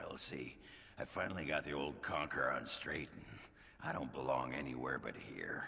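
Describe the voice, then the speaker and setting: A man puts on a raspy character voice, very deep and low in pitch. He goes at a moderate pace over light background noise. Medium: video game. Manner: crude, gruff.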